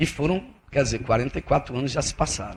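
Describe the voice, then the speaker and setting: A man's fairly high, somewhat breathy voice carries lively intonation. His delivery rises and falls with energy. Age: 50s. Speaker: federal appellate judge. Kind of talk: keynote lecture. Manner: conversational, with frequent repetitions and false starts.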